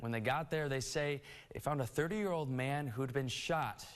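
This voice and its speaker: A normal speaking voice with ordinary pitch variation, delivered at a moderate pace. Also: man. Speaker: morning news anchor and reporter. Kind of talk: local TV news anchor read.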